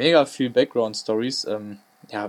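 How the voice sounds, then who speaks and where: This man's voice sits at a medium pitch. He speaks at a very slow pace. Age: 20s. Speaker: sports podcast host, student. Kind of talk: casual sports chat.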